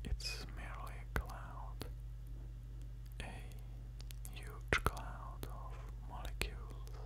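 A soft-spoken man whispers at a very slow pace. Noticeable background noise sits behind him. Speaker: science narrator. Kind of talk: educational narration. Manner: soft close-mic ASMR whisper. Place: studio. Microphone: studio mic.

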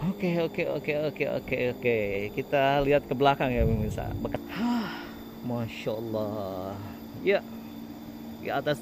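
Noticeable background noise sits behind a man speaking in a dry sound with no echo. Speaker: village vlogger. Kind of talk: casual vlog commentary. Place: open country. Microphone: phone near.

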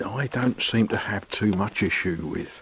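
A man at a fairly slow pace, the sound dry with no echo, with light background noise. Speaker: vlogger. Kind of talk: casual vlog chat. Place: street. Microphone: phone near.

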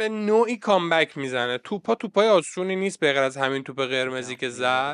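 Animated and fairly high-pitched, a man speaks at a fairly quick pace with very wide pitch swings and hardly any pauses, in a dry, close sound with no echo over a quiet background. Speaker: snooker commentator and coach. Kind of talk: live commentary over match video.

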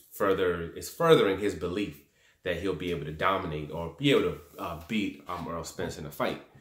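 A man's fairly even intonation at a moderate pace, with audible room echo and a quiet background. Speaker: boxing commentator vlogger. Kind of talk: commentary. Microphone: phone near.

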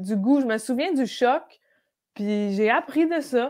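A woman speaks at a fairly slow pace with lively intonation. Hers is an ordinary speaking voice, set against a quiet background. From Quebec (Brossard and Outaouais). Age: 30s. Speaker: comedian. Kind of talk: casual chat. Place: home room. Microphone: earbuds.

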